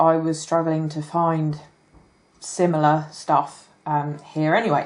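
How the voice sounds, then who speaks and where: A woman with an English accent at a fairly low pitch, over a quiet background. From England. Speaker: crafter and hobby YouTuber. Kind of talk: product haul video. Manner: casual, hesitant with many ums.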